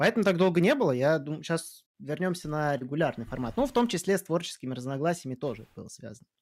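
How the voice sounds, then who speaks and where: Racing along at a very fast pace with hardly any pauses, a man with a fairly high voice uses lively intonation and big swings in loudness. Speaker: podcast host. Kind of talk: casual chat, news discussion. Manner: casual, profane.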